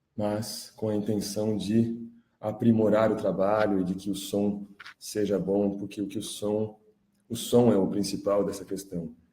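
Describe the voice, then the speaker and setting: A man's dark, mellow voice at fairly low pitch, monotone and flat, at a fairly slow pace with audible room echo. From Brazil. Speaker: independent journalist and music producer. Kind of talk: live stream monologue. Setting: live stream.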